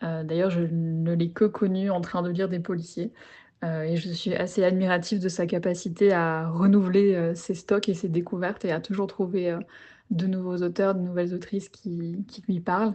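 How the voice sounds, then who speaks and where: Over a quiet background, a woman with a dark, mellow tone speaks at a moderate pace in a fairly low, monotone, flat voice. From Belgium. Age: 20s. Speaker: interviewee, book lover in career change. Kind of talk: casual interview conversation. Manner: hesitant, many fillers.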